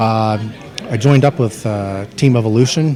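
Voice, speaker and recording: A man with a Canadian accent speaks at a medium pitch over noticeable background noise. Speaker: MMA fighter. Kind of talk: interview.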